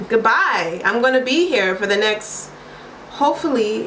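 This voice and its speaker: Amid noticeable background noise and audible room echo, a woman with a Baltimore accent speaks in an animated tone at a moderate pace. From US, Baltimore, Maryland. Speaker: vlogger and English teacher. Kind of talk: casual vlog monologue. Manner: animated, chatty.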